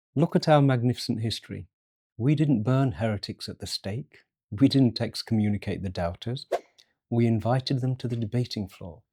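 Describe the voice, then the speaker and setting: The voice is somewhat breathy, with ordinary pitch variation, at a moderate pace. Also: man, medium pitch for a man. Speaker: philosopher, scholar. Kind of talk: philosophical monologue. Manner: forceful, uncompromising.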